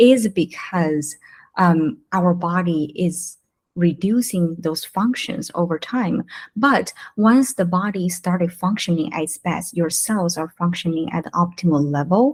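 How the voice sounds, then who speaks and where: A woman with a non-native accent speaks fairly slowly in a fairly low, somewhat breathy voice with ordinary pitch variation. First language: not English. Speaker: wellness entrepreneur. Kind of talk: interview. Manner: halting.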